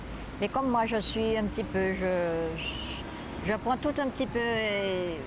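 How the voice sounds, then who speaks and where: Over noticeable background noise, a woman talks at a very slow pace. Her intonation is lively. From Guadeloupe, Marie-Galante. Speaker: interviewee recounting her life. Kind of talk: life story interview. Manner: hesitant.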